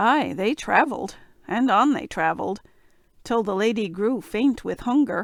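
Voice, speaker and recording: This put-on character voice sounds female, raspy and fairly high in pitch, moving at a moderate pace. The recording is very clean, with a silent background. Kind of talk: bedtime fairy tale reading. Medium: read story.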